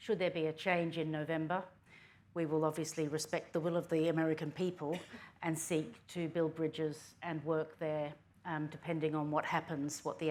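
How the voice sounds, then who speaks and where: A woman speaks at a moderate pace in a very deep, low voice with monotone, flat intonation. The recording is very clean, with a silent background. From Australia. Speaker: politician. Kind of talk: panel talk.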